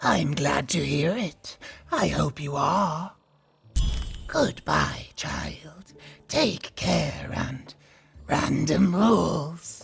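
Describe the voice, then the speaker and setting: A put-on character voice at a low-to-middle pitch, spoken at a very slow pace with long, frequent pauses. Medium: video game. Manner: solemn, measured, grandmotherly.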